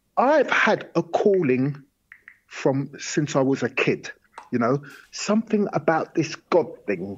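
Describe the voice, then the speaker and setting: Very slowly, a man with a fairly high voice speaks with vocal fry and very wide pitch swings. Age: 60s. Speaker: poet and performer. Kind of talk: interview. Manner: conversational.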